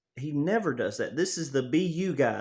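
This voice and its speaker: A man talks in a Tennessee accent. His pitch is fairly high. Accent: Southern US (Tennessee). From Tennessee, US South. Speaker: sports fan vlogger. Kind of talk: casual monologue. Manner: animated.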